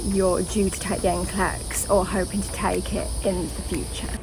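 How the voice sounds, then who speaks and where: With a British accent, a woman talks at a moderate pace amid audible room echo and noticeable background noise. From England. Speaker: nurse and video creator. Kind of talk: casual vlog talk to camera.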